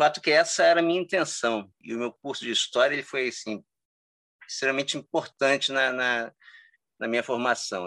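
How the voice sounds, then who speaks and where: A man at a fairly quick pace, with ordinary pitch variation, against a quiet background with a dry, close sound and no echo. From Cabo Frio, Rio de Janeiro state, Brazil. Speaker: history teacher and researcher. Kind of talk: interview. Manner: halting, with many repetitions.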